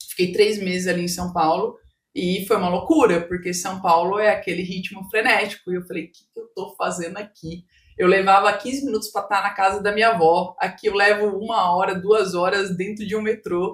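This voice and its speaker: A woman with a normal speaking voice talks at a moderate pace and medium pitch, her intonation fairly even but with big swings in loudness. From Brazil, Mato Grosso do Sul. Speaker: business owner and coach. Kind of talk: podcast interview, personal testimony.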